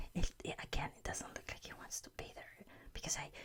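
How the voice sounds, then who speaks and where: At a moderate pace, a voice is whispering. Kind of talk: whispered ASMR show-and-tell. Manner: whispered.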